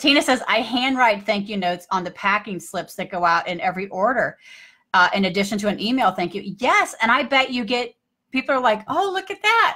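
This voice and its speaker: The voice has a bright, sharp tone. Its pace is fairly quick. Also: woman, fairly high pitch for a woman, lively intonation. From US Midwest, St. Louis. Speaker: business coach. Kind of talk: live stream chat. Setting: home live video stream. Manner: animated.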